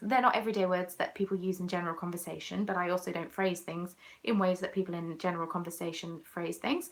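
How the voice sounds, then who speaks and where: A woman talks at a very fast pace with hardly any pauses. Her pitch is fairly low and her intonation fairly even. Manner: sarcastic, faintly mocking.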